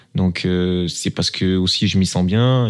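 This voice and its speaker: With fairly even intonation, a man is speaking. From southern France, Toulon. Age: 20s. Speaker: professional footballer. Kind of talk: interview.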